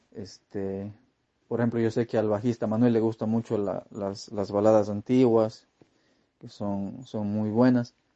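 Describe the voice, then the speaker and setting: A man speaks in a fairly low pitch. His intonation is flat and monotone. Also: fairly slow pace. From Ecuador (Cuenca). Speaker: metal guitarist. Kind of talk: interview. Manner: halting, many repetitions and fillers.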